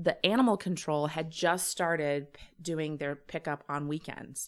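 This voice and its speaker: In a plain, everyday voice, a woman talks at a fairly slow pace with a fairly low pitch, on a very clean recording with a silent background. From Illinois (Champaign). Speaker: comedian and web series creator. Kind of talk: casual interview chat.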